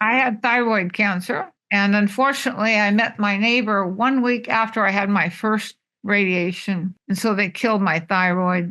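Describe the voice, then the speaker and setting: A woman's bright, sharp voice at medium pitch, moderate in pace, with very even loudness, hardly any pauses and fairly even intonation. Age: 80s+. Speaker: vegan advocate and nutrition instructor. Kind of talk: interview answer.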